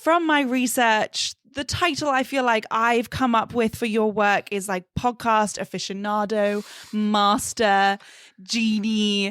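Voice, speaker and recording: Speaking very slowly with a British accent, a woman uses a fairly high pitch and ordinary pitch variation in a dry, close sound with no echo. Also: very clean recording, silent background. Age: 20s. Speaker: podcast host. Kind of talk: casual interview. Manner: animated.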